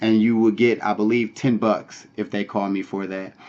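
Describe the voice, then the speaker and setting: The voice is a normal speaking voice with fairly even intonation. The pace is moderate. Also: man. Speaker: online money-making vlogger. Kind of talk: casual vlog tutorial. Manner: casual, many filler words.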